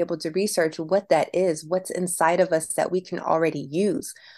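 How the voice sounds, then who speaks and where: Heard against a quiet background, a woman with an unremarkable speaking voice and fairly low pitch speaks at a moderate pace. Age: 30s. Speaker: entrepreneur and single mom. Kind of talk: casual interview.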